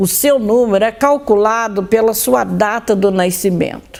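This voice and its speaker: This woman's voice sits fairly high. She speaks at a very slow pace. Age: 60s. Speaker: occultist and religion scholar presenting her own show. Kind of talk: monologue talk to viewers.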